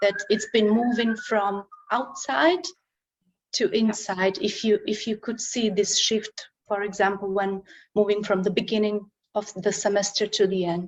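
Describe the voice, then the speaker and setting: With a Slovak accent, a woman speaks fairly slowly at medium pitch, using ordinary pitch variation. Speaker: translation studies researcher. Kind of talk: conference Q&A and presentation.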